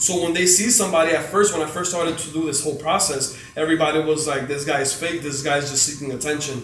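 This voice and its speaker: A man speaks in an animated tone with audible room echo and noticeable background noise. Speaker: motivational speaker and community organizer. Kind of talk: interview.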